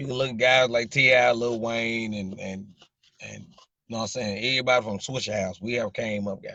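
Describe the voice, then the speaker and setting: A man with a strong Southern US accent speaks at a fairly quick pace in a relaxed tone and a medium pitch. His intonation stays fairly even while his loudness swings widely. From US South, Jacksonville, Arkansas. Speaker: social media livestreamer. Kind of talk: casual chat. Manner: relaxed, repetitive filler.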